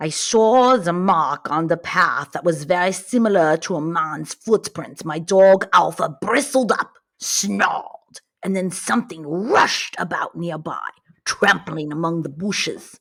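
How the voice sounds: A female-sounding, put-on character voice in a Russian accent, fairly low in pitch. The pace is fairly slow.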